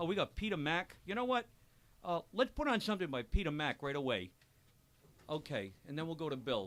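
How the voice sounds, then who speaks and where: An animated, loud man speaks at a fairly quick pace, his fairly high voice making very wide pitch swings. Long pauses come often between his words. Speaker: radio show host. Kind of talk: live radio chat.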